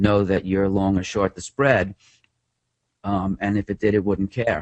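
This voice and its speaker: Here a man speaks with a New York accent. His pitch is fairly low. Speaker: trader and author. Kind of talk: interview.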